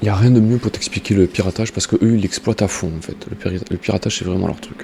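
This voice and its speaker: With big swings in loudness, a man talks at a very fast pace in a fairly low voice. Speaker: gaming YouTuber. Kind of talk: game tutorial. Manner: soft-spoken; halting, many fillers.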